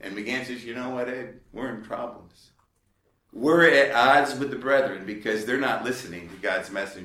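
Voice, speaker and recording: Here is a man with a plain, everyday voice, medium in pitch, at a moderate pace with ordinary pitch variation. His loudness swings widely. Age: 50s. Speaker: lay preacher and ministry leader. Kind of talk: lecture. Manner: conversational, with frequent fillers.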